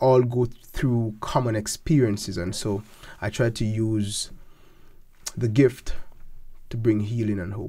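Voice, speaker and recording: In a dark, mellow, somewhat breathy voice of medium pitch, a man speaks at a fairly slow pace with fairly even intonation and long, frequent pauses. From Jamaica, north coast (Falmouth); Jamaica. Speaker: gospel singer and seminary student; interviewee. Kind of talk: interview. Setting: studio. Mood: warm, reflective. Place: studio. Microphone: studio mic.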